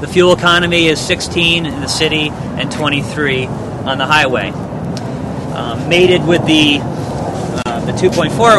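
A man's voice with a dry sound and no echo, against loud background noise. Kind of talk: product presentation. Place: street. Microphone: lapel.

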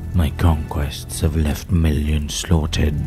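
A man performs a put-on character voice. Music plays clearly in the background. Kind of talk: villain monologue. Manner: menacing, commanding.

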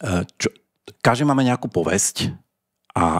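Lively intonation marks this man's fairly slow speech. The background is quiet. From Slovakia. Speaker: podcast host. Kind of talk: casual chat; outro announcement. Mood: relaxed, joking. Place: studio. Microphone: studio mic.

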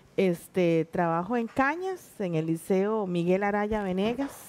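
Lively intonation from a woman. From Costa Rica, Puntarenas; Costa Rica. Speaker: teacher and stage actress; teacher, stage actress. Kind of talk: interview. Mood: warm, animated storytelling. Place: studio. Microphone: headset.

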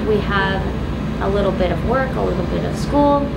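Loud background noise surrounds a woman talking at a moderate pace. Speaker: vlogger living aboard a boat. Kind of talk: casual vlog chat. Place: boat. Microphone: camera far.

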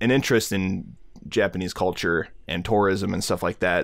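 Fairly low in pitch, a man with an unremarkable speaking voice talks with fairly even intonation on a very clean recording with a silent background. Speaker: podcast co-host. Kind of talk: casual chat.

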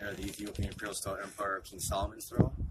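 Against loud background noise, a man mumbles with lively intonation. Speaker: homeless man. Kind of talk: interview answer. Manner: mumbling. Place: street. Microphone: phone near.

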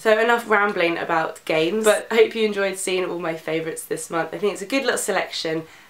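A woman at medium pitch talks at a fairly quick pace with fairly even intonation, and audible room echo surrounds her.

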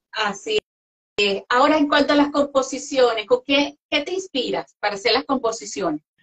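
Her voice is high-pitched, and her intonation is lively. The woman keeps a moderate pace against a quiet background. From Venezuela. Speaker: interviewer and music show host. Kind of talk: interview chat. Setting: live online interview. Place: home room.

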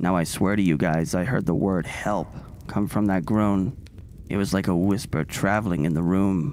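Reading aloud, the speaker uses a natural voice.

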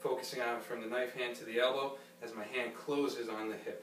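Over music in the background, a man talks at a moderate pace with fairly even intonation and audible room echo. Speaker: karate instructor. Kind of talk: tutorial. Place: gym. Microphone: camera far.

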